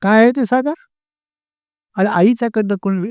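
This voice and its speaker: On a very clean recording with a silent background and a dry, close sound with no echo, a man talks high in pitch with ordinary pitch variation. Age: 80s+. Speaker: spiritual guru. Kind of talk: satsang Q&A talk. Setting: hall with audience.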